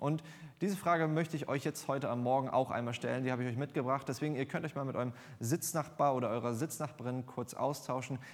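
On a very clean recording with a silent background, a man talks at a very fast pace with a medium pitch and fairly even intonation. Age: 20s. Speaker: lay preacher. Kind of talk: sermon. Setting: church.

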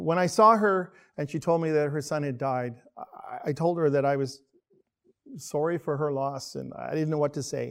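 At a moderate speed, an ordinary speaking voice shows ordinary pitch variation. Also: man, fairly high pitch for a man. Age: 50s. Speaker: church elder giving a sermon. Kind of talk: sermon. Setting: church, streamed online.

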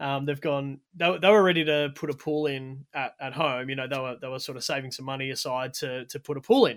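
A man with an Australian accent talks at a fairly quick pace with hardly any pauses. His voice is fairly high for a man and his intonation fairly even. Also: big swings in loudness. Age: 30s. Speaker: motorsport commentator and oil company employee. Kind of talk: casual chat. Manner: fast.

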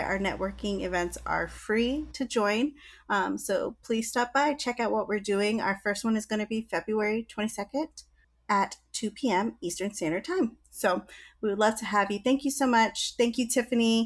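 A woman with an ordinary speaking voice, fairly high pitch, moderate pace and ordinary pitch variation, in a very clean recording with a silent background. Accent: American. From Virginia, US. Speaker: podcast co-host and business networking founder. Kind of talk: casual chat.

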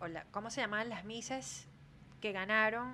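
Her tone is bright and sharp at a medium pitch. The woman keeps a moderate pace with ordinary pitch variation. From Venezuela (Maracay, Aragua). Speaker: podcast co-host, former beauty pageant contestant. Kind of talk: casual chat.

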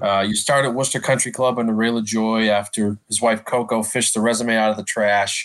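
A man talks at a fairly quick pace with monotone, flat intonation and very even loudness. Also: medium pitch for a man, hardly any pauses. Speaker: podcast co-host. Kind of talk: casual interview.

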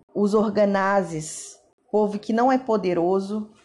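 Very slowly and with fairly even intonation, a woman speaks at medium pitch. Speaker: Bible reader. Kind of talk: scripture reading.

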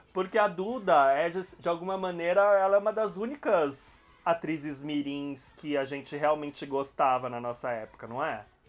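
Against music in the background, a man speaks at a moderate pace in a fairly high pitch with lively intonation. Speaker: podcast host. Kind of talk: casual chat.

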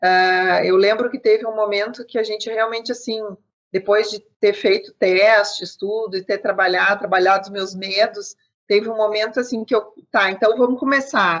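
A woman with a normal speaking voice talks at a moderate pace, her fairly high pitch held in a fairly even intonation. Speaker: business consultant. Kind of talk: interview.

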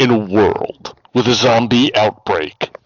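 A man's put-on character voice at a medium pitch, fairly slow in pace with ordinary pitch variation.

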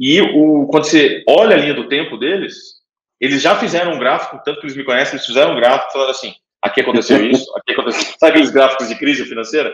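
A man at a very fast pace, fairly high in pitch, with ordinary pitch variation. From Brazil. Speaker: angel investor, fund manager. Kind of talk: casual interview. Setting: remote call.

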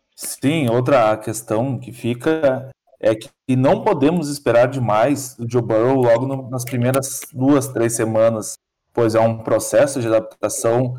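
At a fairly slow pace, a man talks with a medium pitch, fairly even intonation and a dark, mellow tone. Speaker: sports writer. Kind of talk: casual sports podcast chat.

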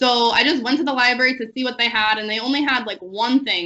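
With an American accent, a woman speaks with ordinary pitch variation. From US Connecticut. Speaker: English and Portuguese teacher. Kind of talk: casual interview.

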